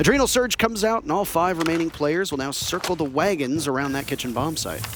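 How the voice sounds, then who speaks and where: A man with a slight Canadian accent talks very fast in a fairly high pitch, his intonation lively, with noticeable background noise behind him. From Canada. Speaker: esports caster. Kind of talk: live commentary.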